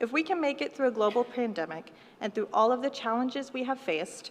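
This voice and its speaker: Speaking at a fairly quick pace, a woman uses a fairly high pitch. Her voice swings very widely up and down. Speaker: graduating student speaker. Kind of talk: ceremonial speech. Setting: graduation ceremony hall. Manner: formal.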